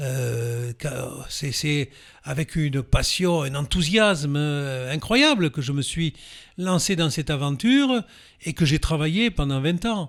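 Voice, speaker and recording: A fairly high-pitched man at a very slow pace. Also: ordinary pitch variation, very clean recording, silent background. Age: 70s. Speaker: former mayor, author. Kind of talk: interview. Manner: hesitant, many fillers.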